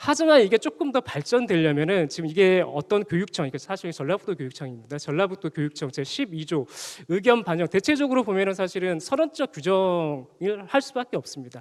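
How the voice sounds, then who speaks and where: A man's high voice with very wide pitch swings at a fairly quick pace, dry and close with no echo, on a very clean recording with a silent background. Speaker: lecturer presenting research at a forum. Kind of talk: conference presentation. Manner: speeding up, rushed for time.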